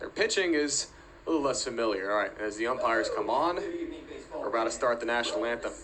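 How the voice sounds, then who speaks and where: There is noticeable noise behind the recording. Over it, a man's speech moves along fairly quickly. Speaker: aspiring sports broadcaster. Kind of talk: baseball play-by-play broadcast.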